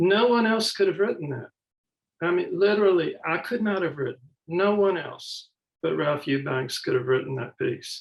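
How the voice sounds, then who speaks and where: A man with a Mississippi accent speaks at a moderate pace, his high voice carrying lively intonation. Long, frequent pauses break up his speech. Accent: Mississippi Southern. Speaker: author and professor. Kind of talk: panel conversation.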